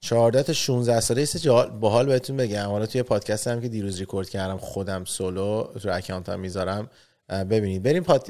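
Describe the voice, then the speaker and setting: A man's fairly low, dark and mellow voice at a very fast pace, with ordinary pitch variation and a quiet background. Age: 30s. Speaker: entrepreneur; podcast host. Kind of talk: casual chat. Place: studio. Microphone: studio mic.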